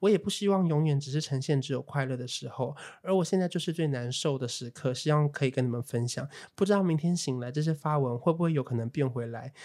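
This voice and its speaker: A man speaks with a Taiwanese accent at a very fast pace. His pitch is fairly high. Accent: Taiwanese Mandarin. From Taiwan, Taipei. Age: 20s. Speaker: podcast co-host, influencer. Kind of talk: casual chat.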